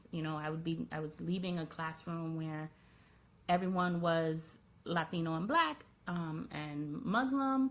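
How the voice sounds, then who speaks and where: A woman talks at a fairly slow pace with fairly low pitch and ordinary pitch variation. It is a plain, everyday voice. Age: 30s. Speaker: video blogger. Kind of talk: personal vlog monologue.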